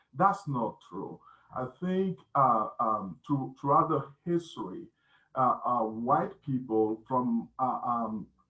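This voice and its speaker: With lively intonation, a man with a non-native accent speaks at a very slow pace. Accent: foreign. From West Africa (Burkina Faso). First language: not English (seventh language). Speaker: union member and civil rights activist. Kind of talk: panel discussion. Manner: halting, many fillers.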